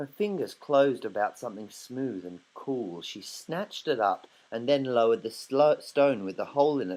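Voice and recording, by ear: Pitch variation stays ordinary. The words are read aloud in a natural voice.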